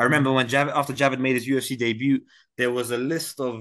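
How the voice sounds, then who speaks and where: A man with a British accent at a very fast pace, over a quiet background. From Britain (London). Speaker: mixed martial arts fighter. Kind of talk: interview.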